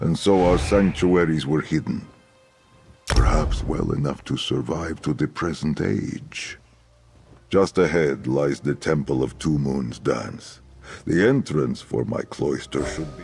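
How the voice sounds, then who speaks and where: Putting on a character voice, a man speaks fairly slowly at a very deep, low pitch while faint music plays behind him. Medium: video game. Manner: earnest, formal.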